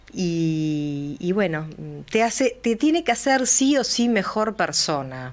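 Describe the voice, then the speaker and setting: The recording is very clean, with a silent background. A woman talks very slowly, her pitch swinging very widely. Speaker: former agricultural market director, chamber of commerce secretary. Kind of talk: radio interview. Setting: radio studio, also streamed live.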